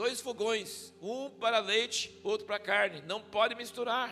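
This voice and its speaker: A man speaks in a raised, projected voice, pitched extremely high for a man, with ordinary pitch variation, a fairly slow pace, an animated tone and a bright, sharp sound. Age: 60s. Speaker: visiting pastor. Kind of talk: sermon. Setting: church. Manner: conversational, animated.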